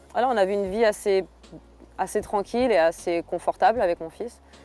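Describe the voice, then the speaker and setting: Her tone is dark and mellow. The woman keeps a fairly even intonation. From southern France. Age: 30s. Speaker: MMA fighter. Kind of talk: documentary interview. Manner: hesitant, many fillers.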